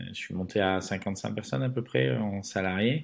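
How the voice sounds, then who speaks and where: A man speaks at a fairly low pitch. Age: 40s. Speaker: entrepreneur, former pastry chef. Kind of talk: podcast interview. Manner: hesitant, many filler words.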